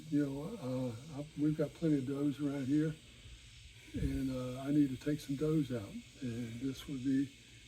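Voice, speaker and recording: A man talks at a fairly slow pace in a fairly high voice, somewhat breathy with a dark, mellow tone. His intonation stays fairly even. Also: long, frequent pauses. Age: 70s. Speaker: crossbow hunter and accessory maker. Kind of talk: product review video. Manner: halting, many fillers.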